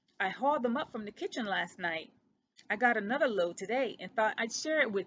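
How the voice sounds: A natural reading voice with lively intonation, over a quiet background.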